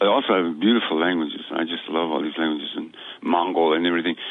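Noticeable background noise sits behind a man speaking at a very fast pace. His pitch is very deep and low, with fairly even intonation. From New Mexico. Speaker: author and teacher. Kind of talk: interview conversation.

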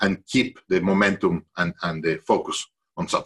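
Recorded with a dry, close sound and no echo, a man talks in a Spanish accent. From Mexico (Mexico City). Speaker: CEO coach and executive education founder. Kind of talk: interview.

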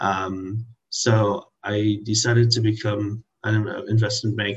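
A man talks in a fairly low pitch, and his voice is somewhat breathy. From Trinidad. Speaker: health tech founder and CEO. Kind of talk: interview. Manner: halting, with fillers and restarts.

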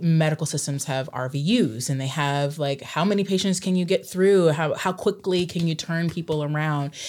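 With an American accent and a very deep, low pitch, a woman talks at a moderate pace with ordinary pitch variation and hardly any pauses. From southern Oregon, US. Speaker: pediatric psychologist and professor. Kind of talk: casual interview. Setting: studio. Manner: animated, gestures while talking.

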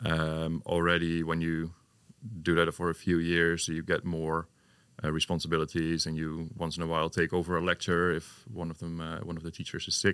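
Very deep and low, a man with a Dutch accent speaks at a moderate pace in a monotone, flat way. The recording is very clean, its background silent. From Netherlands, Hengelo. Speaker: design teacher and PhD student. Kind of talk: interview. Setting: studio.

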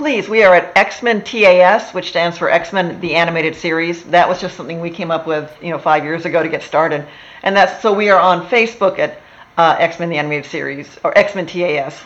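A woman with an American accent and an unremarkable speaking voice talks at a fairly quick pace in a fairly low pitch, with ordinary pitch variation. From Texas. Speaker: TV writer. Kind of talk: casual interview chat.

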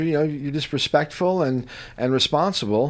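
This is a normal speaking voice with ordinary pitch variation. It moves at a moderate pace. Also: man. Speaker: radio host. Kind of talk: casual radio chat. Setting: radio studio.

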